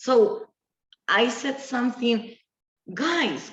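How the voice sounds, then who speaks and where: A woman's high voice with an Argentine accent and very wide pitch swings. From Argentina, small town near Buenos Aires. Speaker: business owner, designer. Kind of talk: interview. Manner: halting.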